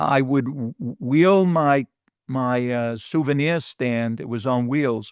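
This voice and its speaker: In a New York accent, a man speaks at a medium pitch with ordinary pitch variation, the sound dry and close with no echo against a quiet background. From New York City (Bronx). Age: 70s. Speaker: guest recalling his childhood. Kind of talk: casual interview chat.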